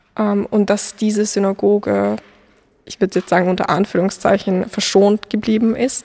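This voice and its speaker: At a moderate pace, a woman talks in a medium-pitched voice. Her intonation is monotone and flat. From Austria, Vienna. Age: young. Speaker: law student. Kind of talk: testimony. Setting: outdoors.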